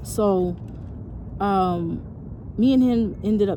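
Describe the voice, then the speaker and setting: Both audible room echo and noticeable background noise surround a woman as she speaks. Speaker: storytelling vlogger. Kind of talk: personal storytelling. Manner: halting, repeats words; casual, slangy.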